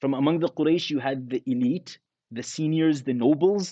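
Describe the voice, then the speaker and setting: With a Canadian accent, a man talks at a moderate pace in a fairly high pitch with ordinary variation. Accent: Canadian English with Arabic religious terms. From Canada. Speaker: imam and Islamic scholar. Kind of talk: religious lecture.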